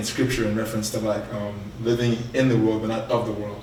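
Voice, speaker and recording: A man with an American accent speaks at a fairly quick pace in a flat monotone. Noticeable background noise and audible room echo surround his voice. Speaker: podcast co-host. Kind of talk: casual panel chat. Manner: filler-heavy, repeats words.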